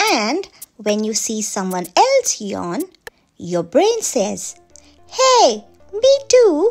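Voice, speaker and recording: A woman uses a cartoonish character voice, high in pitch, at a very slow pace with long, frequent pauses. Faint music plays in the background. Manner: warm, explaining, gentle.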